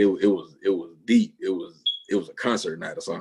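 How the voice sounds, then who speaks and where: A man talks at a very fast pace. He speaks with a strong Southern accent. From US South, Alabama. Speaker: music producer. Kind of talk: interview. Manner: casual, slangy.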